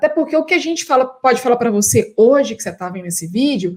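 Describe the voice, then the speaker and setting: In a Minas Gerais accent, the speaker races along at a very fast pace with very wide pitch swings. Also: woman. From Minas Gerais, Brazil. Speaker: professor and consultant. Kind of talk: live stream talk for university students.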